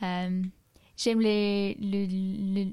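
With an English accent, a woman speaks at a medium pitch in a dark, mellow tone and fairly even intonation. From England, Solihull near Birmingham. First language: English (speaking French). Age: 20s. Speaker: student. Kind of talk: casual interview. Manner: halting.

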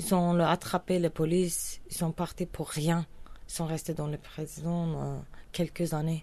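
A woman with a Kurdish accent and a dark, mellow tone at a very slow pace. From Turkish Kurdistan. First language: Kurdish (speaking French). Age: 30s. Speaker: singer. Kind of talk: interview testimony. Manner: halting non-native French.

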